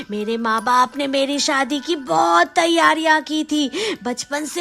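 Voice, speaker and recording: A female-sounding cartoonish character voice, high-pitched for a woman, speaks at a fairly slow pace over light background noise. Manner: slow, eerie.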